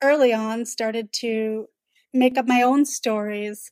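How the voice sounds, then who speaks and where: Fairly even intonation marks this voice with a Canadian accent. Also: woman. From Toronto, Canada. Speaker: novelist. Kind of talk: interview.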